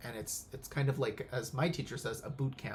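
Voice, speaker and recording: A man's voice, medium in pitch, comes across somewhat breathy. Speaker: pranic healing instructor. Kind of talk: casual spiritual talk. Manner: halting, many fillers.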